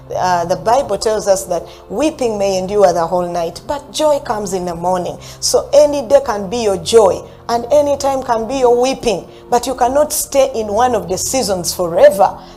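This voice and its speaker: Music in the background under a woman's fairly high voice, lively in intonation and moderate in pace. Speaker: motivational speaker and customer service trainer. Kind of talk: motivational talk. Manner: animated.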